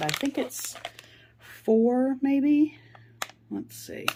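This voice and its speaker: A woman talks very slowly while noticeable background noise carries on behind her. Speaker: food vlogger. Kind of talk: casual cooking vlog. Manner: casual, with fillers.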